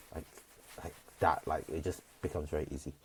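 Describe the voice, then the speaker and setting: A soft-spoken man talks at a fairly quick pace in a very deep, low voice that is somewhat breathy. His intonation stays monotone and flat. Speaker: vlogger, job-seeking service designer. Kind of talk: casual vlog monologue. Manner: hesitant, many fillers.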